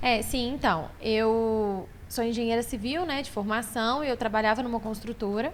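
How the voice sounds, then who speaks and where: With a normal speaking voice, a woman talks at a moderate pace and a fairly high pitch, with ordinary pitch variation and hardly any pauses. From Belo Horizonte, Brazil (born in Maranhão, moved at 10). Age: 30s. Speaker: furniture store owner. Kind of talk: podcast interview.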